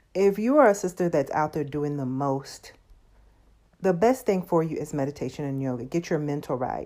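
In a very clean recording with a silent background, a woman with a Southern US accent speaks at a fairly quick pace in a very deep, low pitch, her dark, mellow tone carrying lively intonation. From US South. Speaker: podcast host. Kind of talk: casual monologue.

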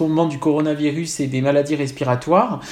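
A man talks fairly quickly in a voice pitched fairly high, with noticeable noise in the background. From Corsica. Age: 40s. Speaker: psychoanalyst and writer. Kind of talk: interview.

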